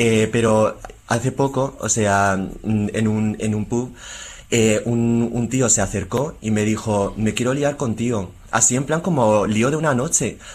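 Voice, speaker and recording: A man's voice sits at a medium pitch, with ordinary pitch variation and very even loudness throughout. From Spain (moved from Taiwan as a baby). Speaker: musician and author. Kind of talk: interview.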